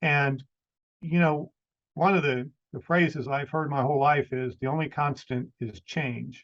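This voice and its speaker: Speaking at a fairly slow pace, a man uses a normal speaking voice, fairly high in pitch, with fairly even intonation. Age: 60s. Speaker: podcaster. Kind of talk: casual chat.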